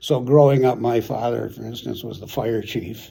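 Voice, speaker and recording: With an American accent, a man talks at a fairly quick pace in a medium pitch, using a dark, mellow tone, vocal fry and ordinary pitch variation. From US Midwest, Chicago suburbs, Illinois. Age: 70s. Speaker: retired city manager. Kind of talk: oral history interview. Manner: halting, many repeated words and fillers.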